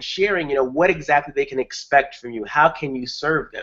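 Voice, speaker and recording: Using a New York accent, a man speaks at a fairly quick pace in a fairly high voice with ordinary pitch variation. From Brooklyn, New York, US. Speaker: online marketing trainer. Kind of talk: webinar presentation. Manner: fast.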